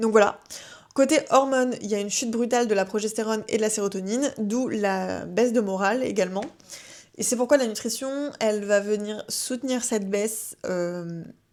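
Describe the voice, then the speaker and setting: Fairly high female voice, moderate tempo, ordinary pitch variation. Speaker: wellness podcast host. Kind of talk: casual advice podcast. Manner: hesitant, many fillers.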